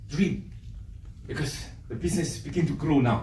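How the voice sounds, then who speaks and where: A man's moderately paced speech carries audible echo from the room. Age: 60s. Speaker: direct sales business leader. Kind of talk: motivational business talk. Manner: hesitant, many fillers.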